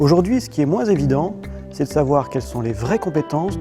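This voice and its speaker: Music sits in the background behind a man's voice. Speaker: company executive; author and speaker. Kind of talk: corporate video speech. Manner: stiff, unsmiling.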